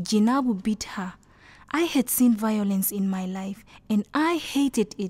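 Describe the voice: Here a woman speaks at a fairly slow pace with a medium pitch. Her tone is slightly mellow, and her pitch varies in an ordinary way.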